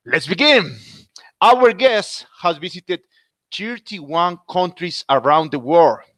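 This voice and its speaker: Recorded dry and close with no echo, a man with a Spanish accent speaks at a high pitch with very wide pitch swings. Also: very clean recording, silent background. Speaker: podcast host. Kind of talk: interview. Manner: scripted intro.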